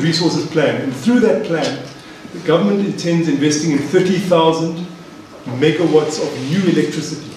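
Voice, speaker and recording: A man's high voice at a moderate pace, with strong room echo and light background noise. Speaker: economics lecturer. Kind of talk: lecture. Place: hall.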